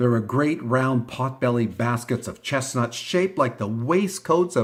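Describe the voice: Aloud reading, plain in manner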